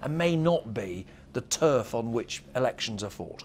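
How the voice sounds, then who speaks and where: A man with very wide pitch swings over music in the background. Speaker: political correspondent. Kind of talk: broadcast political analysis.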